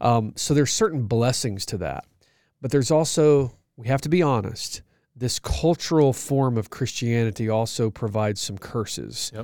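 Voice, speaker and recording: With an American accent, a man with a plain, everyday voice speaks at medium pitch and a moderate pace, using ordinary pitch variation. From US South, Georgia (outskirts of Atlanta). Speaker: pastor and ministry leader, podcast co-host. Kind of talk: casual chat.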